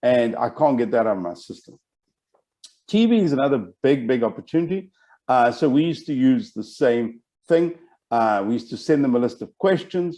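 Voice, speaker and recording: This man talks at a fairly quick pace with lively intonation. His tone is dark and mellow. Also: medium pitch for a man. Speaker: business educator. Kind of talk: webinar presentation. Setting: online webinar. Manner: fast when excited.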